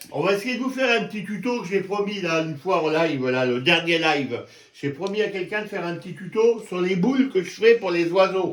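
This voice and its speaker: Noticeable background noise sits behind a man with a high pitch. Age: 60s. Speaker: YouTuber. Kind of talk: tutorial. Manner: casual, halting.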